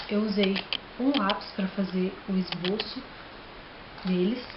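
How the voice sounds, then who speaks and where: Audible room echo and noticeable background noise around a woman's speech. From Brazil, Minas Gerais. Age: 20s. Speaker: DIY craft vlogger. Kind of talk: tutorial. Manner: casual, friendly.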